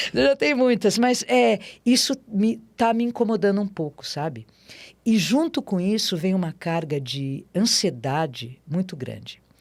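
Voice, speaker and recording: At a fairly slow pace, a woman speaks in a medium pitch with very wide pitch swings, in a very clean recording with a silent background. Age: 60s. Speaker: amateur marathon runner. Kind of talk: interview conversation. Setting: studio.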